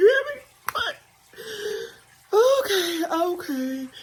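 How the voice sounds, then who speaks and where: A woman's cartoonish character voice at an extremely high pitch. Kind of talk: comedic puppet monologue to camera. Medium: puppet. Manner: brash, animated.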